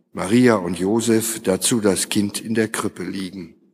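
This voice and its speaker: At a fairly slow pace, a man speaks in an ordinary speaking voice with a fairly low pitch and ordinary pitch variation. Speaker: lector. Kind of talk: scripture reading aloud in a service. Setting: church.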